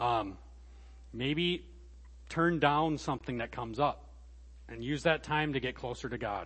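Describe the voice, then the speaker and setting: Medium pitch from a male speaker, with ordinary variation in pitch. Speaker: guest preacher. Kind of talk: sermon.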